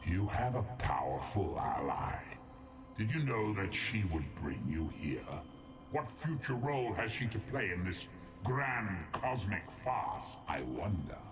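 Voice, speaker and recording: Over loud background noise, a man uses a fairly low, put-on character voice at a fairly slow pace. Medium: machinima. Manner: condescending, menacing.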